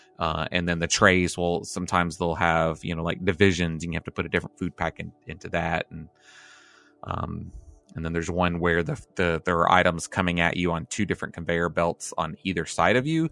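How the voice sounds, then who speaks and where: A man talks at a fairly quick pace with a very deep, low pitch. Music plays in the background. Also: dry, close sound with no echo. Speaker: co-host. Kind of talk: casual banter podcast. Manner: joking, animated.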